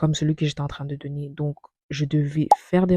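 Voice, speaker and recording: In a dry, close sound with no echo, a woman speaks with monotone, flat intonation, a dark, mellow tone and a somewhat breathy quality. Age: 20s. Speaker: vlogger. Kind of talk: personal narration.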